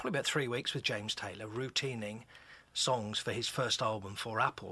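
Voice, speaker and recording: With a West Country accent, a man speaks in a bright, sharp tone with fairly even intonation on a very clean recording with a silent background. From England, Exeter (Devon). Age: 60s. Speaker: author and musician. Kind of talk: radio interview.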